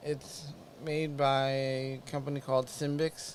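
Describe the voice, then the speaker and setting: Very slowly, a man talks in a flat monotone. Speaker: podcast host with Parkinson's, former EMT. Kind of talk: casual live-stream update. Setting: live stream. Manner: halting.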